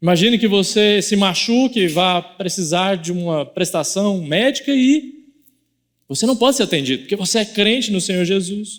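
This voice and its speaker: Speaking in a Goiás accent, a man uses a high pitch and lively intonation. His pace is moderate. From Goiás, Brazil. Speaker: pastor. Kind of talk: sermon. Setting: church.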